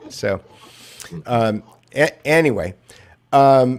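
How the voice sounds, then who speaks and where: This man's intonation is lively. His voice rises and falls with energy. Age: 60s. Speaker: media analyst and podcast co-host. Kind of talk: casual chat. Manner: halting, many fillers and repeats.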